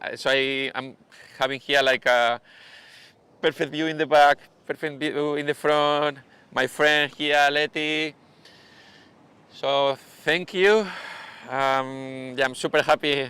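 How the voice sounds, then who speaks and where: A man talks very slowly in a fairly high voice with a bright, sharp tone and fairly even intonation. Long pauses come often, and the sound is dry and close with no echo. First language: Spanish. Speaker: surf coach. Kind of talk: live stream interview. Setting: beach bar used as studio. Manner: halting.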